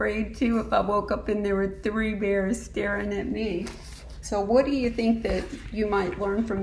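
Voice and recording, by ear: A person reads aloud in a natural voice, keeping the intonation fairly even.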